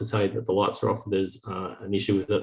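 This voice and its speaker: Very fast and somewhat breathy, a man speaks with an Australian accent. The recording is very clean, with a silent background. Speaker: startup founder. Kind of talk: sales pitch.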